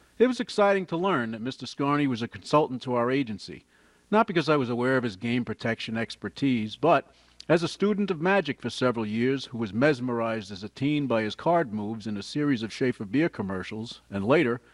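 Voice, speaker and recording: Someone with a New York accent talks very fast with lively intonation in a very clean recording with a silent background and a dry, close sound with no echo. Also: man, medium pitch for a man. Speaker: retired gambling regulator and amateur magician. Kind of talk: scripted voiceover narration.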